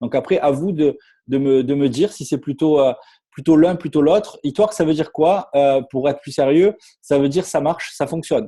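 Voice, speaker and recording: Marseille accent from a man at a fairly high pitch, with a dark, mellow tone, ordinary pitch variation and moderate pace. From southern France, Marseille. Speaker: network marketing distributor. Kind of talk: sales pitch. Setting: online webinar with screen share. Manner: halting, many fillers and repetitions.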